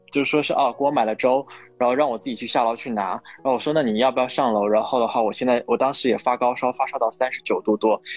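The speech comes at a very fast pace. Intonation is fairly even, and the sound is dry and close with no echo. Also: man, medium pitch for a man. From northeastern China. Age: 20s. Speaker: podcast guest. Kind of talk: casual chat.

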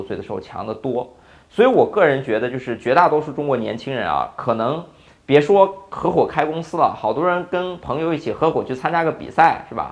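A man talks at a fairly quick pace with vocal fry. His pitch is fairly high and swings very widely. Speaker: startup founder. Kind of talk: casual interview.

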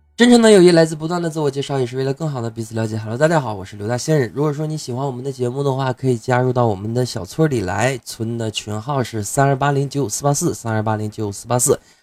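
Very fast delivery with hardly any pauses, ordinary pitch variation, and noticeable background noise. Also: man, medium pitch for a man. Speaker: podcast host. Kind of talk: casual podcast monologue.

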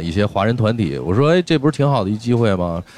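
Noticeable background noise sits behind a man's voice. His fairly low pitch makes very wide swings. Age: 30s. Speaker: rock band guitarist. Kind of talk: casual chat.

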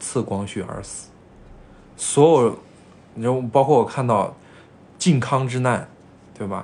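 This man speaks at a very slow pace with long, frequent pauses, a medium pitch and ordinary pitch variation. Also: big swings in loudness. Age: 20s. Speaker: podcast co-host. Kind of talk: casual chat.

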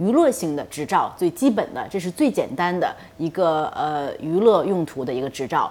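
A woman's medium-pitched voice with very wide pitch swings at a moderate pace. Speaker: aviation company executive and pilot. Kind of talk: interview on radio talk show. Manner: hesitant with many fillers.

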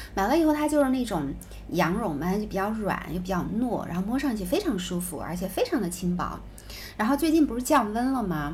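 Somewhat breathy and medium in pitch, a woman talks at a fairly quick pace with very wide pitch swings. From southern China. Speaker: podcast co-host. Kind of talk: casual chat.

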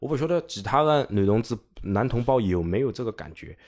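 The recording is very clean with a silent background. A man with an unremarkable speaking voice talks at a fairly quick pace with lively intonation. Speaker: teacher. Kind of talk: casual chat.

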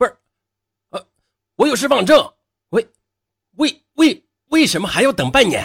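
Pausing long and often, a man uses a put-on character voice pitched extremely high. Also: moderate pace. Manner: stuttering.

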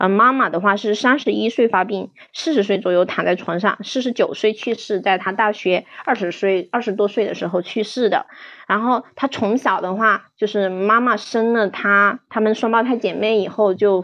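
A woman's fairly high voice at a moderate pace with fairly even intonation. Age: 30s. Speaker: counselor presenting a case. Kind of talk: case presentation. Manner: halting.

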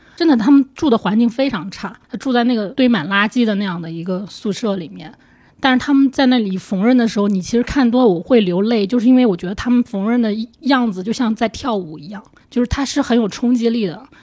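A somewhat breathy voice moves at a fairly quick pace with ordinary pitch variation. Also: woman, fairly high pitch for a woman. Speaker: film journalist. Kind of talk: casual chat.

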